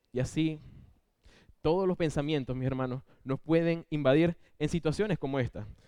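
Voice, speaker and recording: The voice has a dark, mellow tone. It comes with a Venezuelan accent. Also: man. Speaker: lay preacher. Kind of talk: sermon. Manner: fast.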